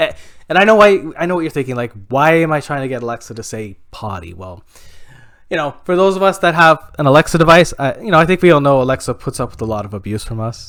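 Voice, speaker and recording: Talking very fast in a Canadian accent, a man uses a fairly high pitch with very wide pitch swings and big swings in loudness, on a very clean recording with a silent background. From Canada. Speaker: stand-up comedian. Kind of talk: stand-up comedy set. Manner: hesitant, many fillers.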